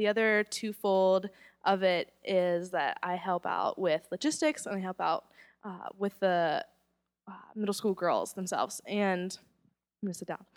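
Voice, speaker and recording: A normal speaking voice with an American accent, a fairly slow pace and ordinary pitch variation, dry and close with no echo on a very clean recording with a silent background. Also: woman, medium pitch for a woman. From US South, Charlotte, North Carolina. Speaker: youth ministry director. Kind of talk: testimony.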